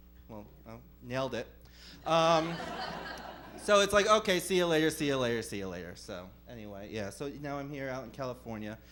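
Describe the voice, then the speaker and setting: In an American accent, a man at medium pitch talks fairly quickly with very wide pitch swings, big swings in loudness and long, frequent pauses, with audible room echo. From New Jersey. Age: 30s. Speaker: stand-up comedian. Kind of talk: stand-up. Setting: comedy club stage with audience. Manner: animated.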